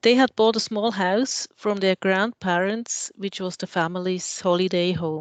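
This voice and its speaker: With a Swiss German accent, a woman talks at a fairly slow pace with fairly even intonation in a dry, close sound with no echo. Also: medium pitch for a woman, hardly any pauses. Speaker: architect. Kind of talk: lecture.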